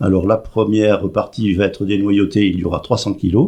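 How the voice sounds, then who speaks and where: A man's dark, mellow voice at a moderate pace. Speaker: president of a seniors' club. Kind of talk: radio interview.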